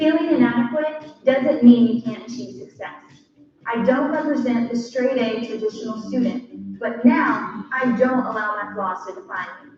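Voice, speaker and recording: Loudness swings widely, with ordinary pitch variation. Noticeable background noise and audible room echo come through. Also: woman, high pitch for a woman, moderate pace. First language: Spanish. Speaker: nursing graduate giving a speech. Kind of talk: prepared speech.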